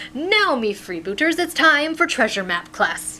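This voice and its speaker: This put-on character voice is high-pitched, raised and projected, and moves through very wide pitch swings over clear background noise. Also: moderate pace. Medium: read story. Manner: hearty, warm.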